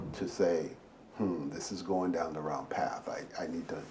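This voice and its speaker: Audible room echo follows a man who speaks at a fairly slow pace. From Barbados, moved to Brooklyn at 12. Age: 60s. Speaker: retired finance professional. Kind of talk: interview. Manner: halting, with repetitions.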